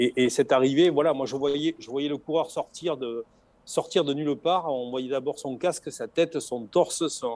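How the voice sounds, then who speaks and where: Recorded very cleanly against a silent background, a man speaks at a fairly high pitch. He keeps a fairly slow pace with ordinary pitch variation. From southern France. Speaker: retired Tour de France logistics manager and author. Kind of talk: interview. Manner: halting, many repetitions.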